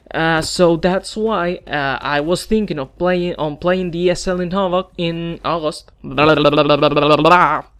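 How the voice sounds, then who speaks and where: Delivered at a moderate pace, the speech comes with a Spanish accent. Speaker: gaming YouTuber. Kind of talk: opinion video monologue. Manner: halting.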